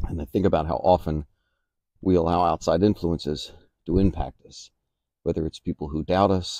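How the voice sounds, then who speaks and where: Against a quiet background, a man with a very deep, low voice speaks at a moderate pace with fairly even intonation in a dry sound with no echo. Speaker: motivational vlogger. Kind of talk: reflective motivational monologue. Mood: calm, reflective. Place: garden. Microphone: phone near.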